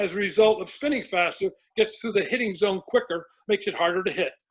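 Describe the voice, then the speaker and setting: The speaker is a man. His pitch sits high. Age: 70s. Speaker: baseball pitching coach. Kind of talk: casual interview chat. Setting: podcast interview. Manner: halting, with many restarts.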